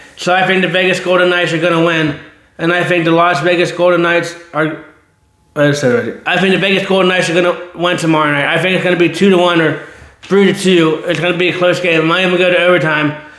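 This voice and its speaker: Audible room echo surrounds a man with a high pitch. He talks at a very fast pace in a monotone, flat intonation. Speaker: sports channel host. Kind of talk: casual sports commentary monologue. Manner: rambling, repetitive self-corrections.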